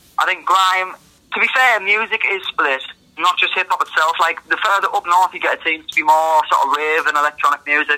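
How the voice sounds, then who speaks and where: A man's high-pitched, raised, projected voice at a fairly quick pace, with ordinary pitch variation and a dry, close sound with no echo. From northern England. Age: 20s. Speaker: rapper and producer. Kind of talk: casual interview chat. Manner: casual, conversational.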